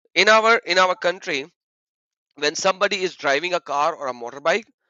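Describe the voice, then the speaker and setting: A man's loud, high-pitched voice moves at a moderate pace with ordinary pitch variation. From Pakistan. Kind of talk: heated debate. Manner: animated.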